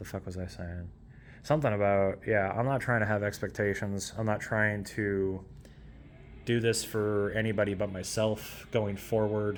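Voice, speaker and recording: Intonation stays fairly even, broken by long, frequent pauses. Room echo is audible. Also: man. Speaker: youtuber, electronic music maker. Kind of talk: casual vlog monologue. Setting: at home in apartment. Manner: fast.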